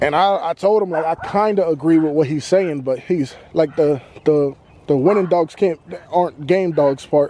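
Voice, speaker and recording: A man speaks with an American accent and ordinary pitch variation. The sound is dry with no echo, with light background noise. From Boston, US. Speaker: dog owner vlogger. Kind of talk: casual vlog monologue. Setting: outdoors walking dog. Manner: halting, many fillers. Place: open country. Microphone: phone near.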